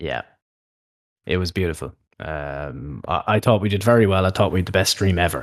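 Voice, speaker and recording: In an Irish accent, a man with a very deep, low pitch and vocal fry talks at a fairly quick pace, with ordinary pitch variation, long, frequent pauses and a quiet background. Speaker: wrestling podcast host. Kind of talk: casual chat.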